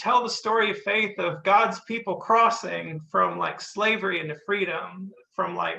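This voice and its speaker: A man with a Southern US accent speaks in a raised, projected voice with a high pitch and a bright, sharp tone, going at a fairly slow pace with hardly any pauses and fairly even intonation. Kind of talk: testimony. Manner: casual, halting with fillers.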